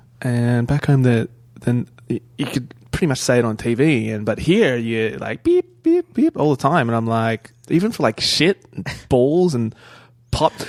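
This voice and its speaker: A man's medium-pitched voice at a fairly slow pace, dry and close with no echo. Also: ordinary pitch variation. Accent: Australian. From Australia. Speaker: actor. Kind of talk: casual chat.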